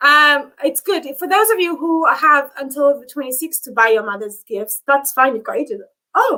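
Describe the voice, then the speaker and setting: Projecting a raised, bright and sharp voice at a high pitch, a woman speaks at a moderate pace with lively intonation and big swings in loudness. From Namibia. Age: 30s. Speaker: YouTuber. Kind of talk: live stream chat. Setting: live stream. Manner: animated.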